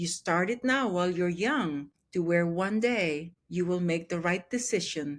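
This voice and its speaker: A woman speaks very slowly at a medium pitch with lively intonation. The recording is very clean, with a silent background. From Philippines. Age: 60s. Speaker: adoptive mother and grandmother. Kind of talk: testimony. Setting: podcast.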